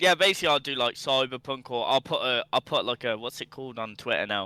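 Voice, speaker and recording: In a Birmingham accent, a man speaks at a fairly quick pace with a bright, sharp tone and a dry, close sound with no echo. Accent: Birmingham (Brummie). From England, Birmingham. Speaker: gaming streamer. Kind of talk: casual podcast chat. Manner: animated.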